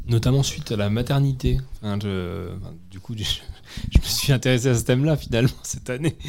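Speaking at a medium pitch and moderate pace with ordinary pitch variation, a man is heard over noticeable background noise. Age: 20s. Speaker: community radio host. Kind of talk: casual chat; scripted chronicle reading. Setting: on location at a community centre.

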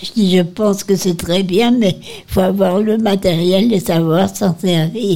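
A woman at a medium pitch, a very slow pace and noticeable background noise. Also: fairly even intonation. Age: 80s+. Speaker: nursing home resident. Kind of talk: reminiscence.

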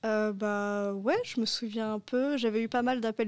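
A woman speaks in a flat monotone at a fairly high pitch and a moderate pace. The recording is very clean, with a silent background. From France, Paris region. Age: 20s. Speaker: university student, former European volunteer. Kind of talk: radio interview.

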